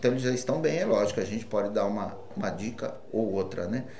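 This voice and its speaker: Amid audible room echo and noticeable background noise, a man with a medium pitch speaks at a fairly quick pace with lively intonation. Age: 60s. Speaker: football coach. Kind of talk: press conference.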